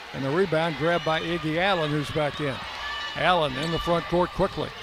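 Noticeable background noise sits behind a man who talks at a moderate pace in a fairly high pitch with fairly even intonation. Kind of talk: live play-by-play sports commentary.

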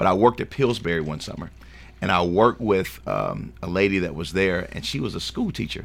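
Very deep and low in pitch, a man speaks in a Tennessee accent with vocal fry. His intonation is lively and his pace fairly quick. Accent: Southern US (Tennessee). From Shelbyville, Tennessee. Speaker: school board candidate. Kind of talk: radio interview.

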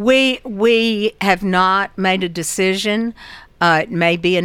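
A woman speaks at a fairly slow pace in a Southern US accent, her pitch medium with ordinary variation. The recording is very clean, with a silent background. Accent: US South (Tennessee). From Murfreesboro, Tennessee. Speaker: school board member. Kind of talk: radio interview.

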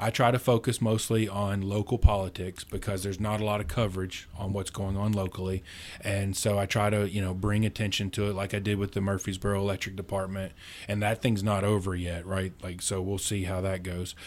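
A man talks at a fairly quick pace with an American accent. His pitch sits fairly low. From rural central Kentucky. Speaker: libertarian activist, university program director. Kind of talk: casual interview chat. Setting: studio. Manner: animated.

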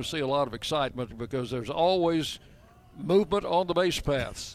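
A plain, everyday voice from a man, fairly quick, with pitch varying in an ordinary way. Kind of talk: live baseball play-by-play commentary. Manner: brisk, clipped play-by-play delivery that rises on big plays.

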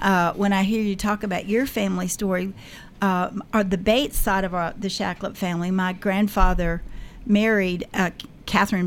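A woman's medium-pitched voice in a Tennessee accent, moderate pace and fairly even intonation. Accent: Middle Tennessee Southern. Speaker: local historian. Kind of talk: radio interview. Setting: radio studio.

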